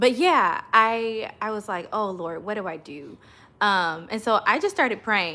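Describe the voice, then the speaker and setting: Speaking slowly-ish with an American accent, a woman has a bright, sharp tone in a very clean recording with a silent background. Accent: slight country. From Oklahoma. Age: 30s. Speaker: worship leader and channel host. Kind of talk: casual livestream story time.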